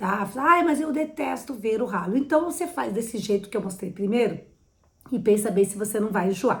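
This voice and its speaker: A woman's fairly high, somewhat breathy voice, animated in tone, with very wide pitch swings. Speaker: interior designer. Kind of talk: tutorial.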